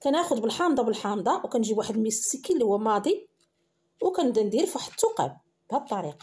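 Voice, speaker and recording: Very fast and high-pitched, a woman with a Moroccan accent talks with very wide pitch swings. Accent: Moroccan Arabic (Darija). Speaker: cooking channel host. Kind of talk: cooking tutorial.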